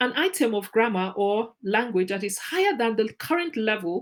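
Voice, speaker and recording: A woman with a Nigerian accent, lively intonation and a moderate pace. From Nigeria (Ijaw/Izon ethnic group). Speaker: teacher trainer. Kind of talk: lecture.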